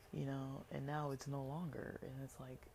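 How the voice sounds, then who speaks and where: A woman with an American accent speaks in a very deep, low voice with a dark, mellow tone. Her delivery is monotone and flat, at a moderate pace. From Los Angeles, Southern California. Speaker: podcaster. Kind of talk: casual solo podcast monologue.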